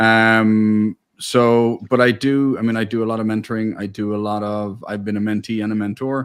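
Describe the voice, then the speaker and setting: A man speaks with an American accent in a monotone, flat intonation. The recording is very clean, with a silent background. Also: fairly low pitch for a man, moderate pace. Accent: Irish with a slight American twang. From Ireland, Dublin. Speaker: family business owner and mentor. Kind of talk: interview.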